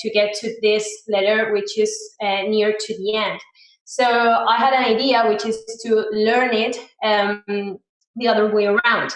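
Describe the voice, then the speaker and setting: A woman with a Spanish accent speaks fairly slowly at a fairly high pitch, her monotone, flat intonation picking up audible room echo. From Spain, Murcia. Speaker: software engineer, conference speaker. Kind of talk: conference talk. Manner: hesitant, many fillers.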